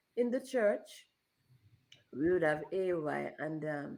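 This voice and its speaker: A woman speaks with very wide pitch swings. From Jamaica. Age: 60s. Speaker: interview guest. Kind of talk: interview.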